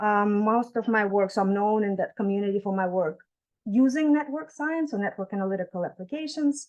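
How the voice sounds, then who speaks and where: The speaker has a non-native accent and ordinary pitch variation. The pace is fairly quick. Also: woman. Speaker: professor. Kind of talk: keynote lecture. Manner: fast.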